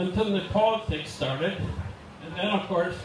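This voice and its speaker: Speech comes at a moderate pace with fairly even intonation. Noticeable background noise and audible room echo are present. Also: man. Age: 70s. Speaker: hall of fame inductee, motorcycle and snowmobile builder. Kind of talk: acceptance speech, storytelling.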